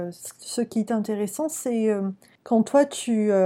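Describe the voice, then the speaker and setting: Very slowly, a woman speaks at a fairly high pitch with a dark, mellow tone and fairly even intonation, on a very clean recording with a silent background. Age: 20s. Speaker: podcast host and career coach in training. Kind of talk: interview.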